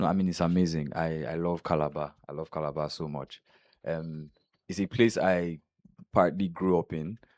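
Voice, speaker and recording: The speech moves at a moderate pace with fairly even intonation. The sound is dry and close with no echo, against a quiet background. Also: man, very deep, low pitch for a man. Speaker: content creator and actor. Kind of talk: casual interview. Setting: studio.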